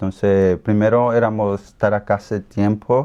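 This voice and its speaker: A man with an Ecuadorian accent speaks in a dark, mellow, fairly low voice with monotone, flat intonation. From Colombia, raised in Ecuador. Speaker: interviewee. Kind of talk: interview. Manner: halting.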